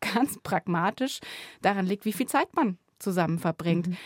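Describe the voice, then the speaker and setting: A woman speaks at a moderate pace with lively intonation. The recording is very clean with a silent background and a dry, close sound with no echo. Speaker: radio journalist. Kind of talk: casual chat. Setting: studio.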